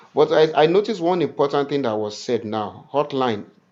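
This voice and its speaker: Using lively intonation, a man talks at a fairly quick pace in an unremarkable speaking voice. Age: 60s. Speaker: ministry leader. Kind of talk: info session.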